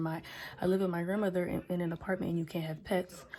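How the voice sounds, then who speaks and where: A woman speaks in a monotone, flat intonation. Her pitch sits in the medium range. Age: 18. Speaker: vlogger. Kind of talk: casual chat. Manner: rambling with many fillers.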